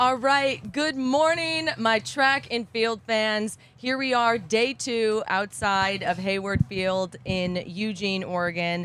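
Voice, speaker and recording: In a raised, projected voice, a man with a high pitch speaks very slowly with lively intonation and hardly any pauses. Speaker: track and field podcast host. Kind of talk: casual chat. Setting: outdoors. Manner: animated.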